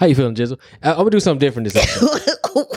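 A man's put-on character voice, fairly high-pitched and mumbling, with very wide pitch swings and a very fast pace. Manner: mumbled, slurred.

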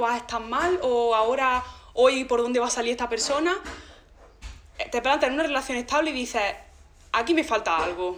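A woman speaks at a fairly quick pace with high pitch and ordinary pitch variation. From Andalusia, Granada province (Zagra). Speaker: podcast guest. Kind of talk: casual chat.

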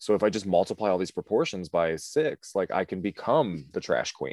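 Speaking in an ordinary speaking voice, a man talks at a fairly quick pace with a fairly low pitch and ordinary pitch variation. The sound is dry and close with no echo, and the background is quiet. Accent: American. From US Midwest, Cleveland area, Ohio. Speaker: drag queen. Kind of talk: casual chat.

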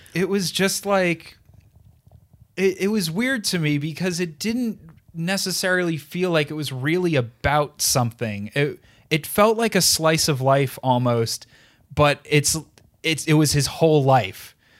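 A plain, everyday voice at a fairly slow pace with lively intonation, on a very clean recording with a silent background. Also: man, fairly high pitch for a man. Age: young. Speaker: podcast co-host. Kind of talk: casual chat.

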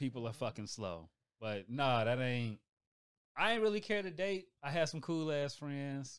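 With very wide pitch swings, a man at a fairly high pitch speaks at a moderate pace in a very clean recording with a silent background. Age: 30s. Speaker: new podcast team member. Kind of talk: casual chat.

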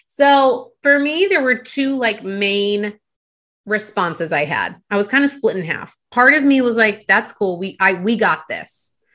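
Over a quiet background, a woman with an American accent speaks fairly slowly in a fairly high, bright, sharp voice with lively intonation. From Delaware, US. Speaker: life coach. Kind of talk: interview.

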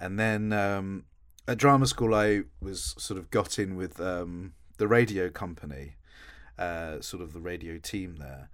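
A man's very deep, low voice with an Essex accent, fairly slow, with ordinary pitch variation and big swings in loudness, in a very clean recording with a silent background. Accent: southern English (Essex). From Essex, England. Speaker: voice actor and audiobook narrator. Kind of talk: casual interview.

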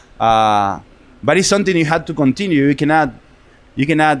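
The speaker is a man with a fairly high voice. He uses lively intonation. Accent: Argentine. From Argentina, Buenos Aires. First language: Spanish. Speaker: restaurant owner. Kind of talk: casual chat. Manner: animated.

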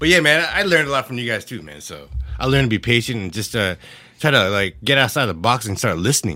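A very fast American accent with a bright, sharp tone, vocal fry and very wide pitch swings. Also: man, medium pitch for a man. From California, San Jose Bay Area. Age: 40s. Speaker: former IT service desk manager. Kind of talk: casual chat.

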